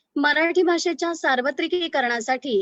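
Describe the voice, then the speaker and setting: A woman's voice has a bright, sharp tone and ordinary pitch variation. The sound is dry and close, with no echo. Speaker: event host. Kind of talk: formal event introduction.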